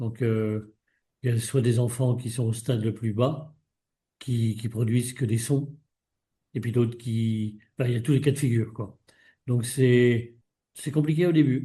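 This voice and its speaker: A dark, mellow tone, somewhat breathy, at a fairly slow pace with long, frequent pauses and fairly even intonation. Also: man, medium pitch for a man. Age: 70s. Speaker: retired mountain guide, consumer giving testimony. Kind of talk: interview testimony. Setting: video call. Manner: hesitant, many fillers.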